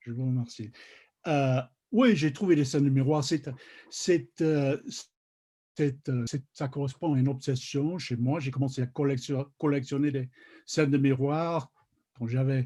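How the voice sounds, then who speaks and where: A man with a fairly high pitch and a dark, mellow tone speaks somewhat breathily in a non-native accent, at a fairly slow pace with fairly even intonation and long, frequent pauses. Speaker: literary scholar, journal contributor. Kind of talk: panel discussion on literature. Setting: video call. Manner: halting, many hesitations and repetitions.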